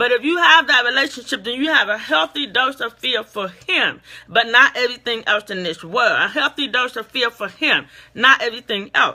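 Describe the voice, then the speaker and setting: This woman speaks loudly at a moderate pace, her high pitch moving with lively intonation. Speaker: motivational speaker. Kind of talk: motivational talk. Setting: facebook live stream.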